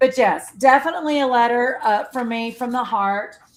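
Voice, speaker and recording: The recording is very clean, with a silent background. A woman speaks loudly in a high voice. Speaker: quilt shop owner and live stream host. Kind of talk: casual live stream chat.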